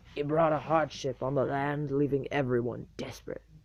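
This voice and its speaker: A put-on character voice from a man, pitched fairly high, delivered at a moderate pace. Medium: read story. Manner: gruff, folksy.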